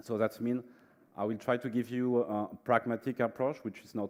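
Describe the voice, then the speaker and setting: A man speaks with a French accent. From France. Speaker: management consultant. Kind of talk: conference presentation. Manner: hesitant, many fillers.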